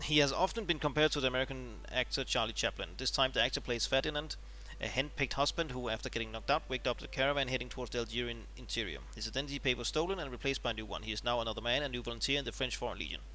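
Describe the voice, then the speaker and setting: A man rattles on at a very fast pace with hardly any pauses. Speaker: gaming video creator. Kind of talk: reading aloud. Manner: mumbling; halting.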